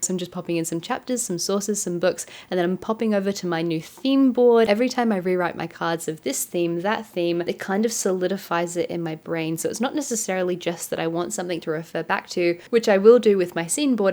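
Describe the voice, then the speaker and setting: A woman with a dark, mellow tone and a medium pitch talks at a very fast pace, with hardly any pauses and ordinary pitch variation. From Adelaide, Australia. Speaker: author and content creator. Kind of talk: casual vlog talk to camera. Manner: rambly, introspective.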